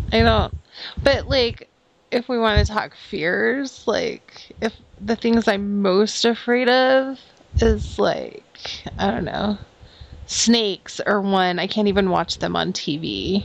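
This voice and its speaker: A woman talks at a very slow pace, leaving long, frequent pauses, while noticeable background noise is present. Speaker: podcast host. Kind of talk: casual chat.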